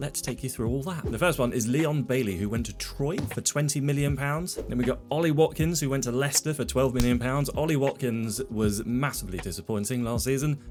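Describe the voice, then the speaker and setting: The speech moves at a fairly quick pace with hardly any pauses and ordinary pitch variation. Music plays in the background. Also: man, medium pitch for a man. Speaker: video game streamer. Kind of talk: gameplay commentary. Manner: casual.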